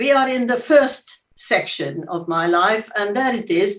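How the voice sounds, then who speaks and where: A woman's fairly slow speech with lively intonation and a Hungarian accent. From Hungary. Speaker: Holocaust survivor. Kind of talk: testimony. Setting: video call.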